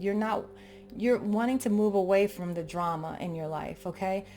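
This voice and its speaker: A woman at a moderate pace with ordinary pitch variation, music in the background. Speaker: tarot reader. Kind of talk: tarot reading. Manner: calm, soothing; halting, many restarts.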